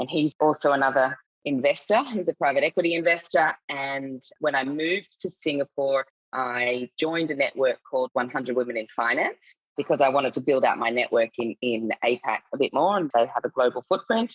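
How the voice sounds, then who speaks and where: Recorded dry and close with no echo, a woman with a very deep, low pitch talks at a fairly quick pace with hardly any pauses and ordinary pitch variation. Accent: Australian. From Australia. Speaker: finance executive, nonprofit director. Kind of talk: podcast interview.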